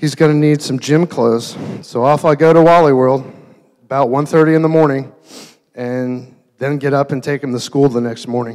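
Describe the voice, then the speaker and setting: A man talks at a moderate speed, his intonation fairly even, and the background stays quiet. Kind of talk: wedding toast speech. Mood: warm, sentimental. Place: hall. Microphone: handheld.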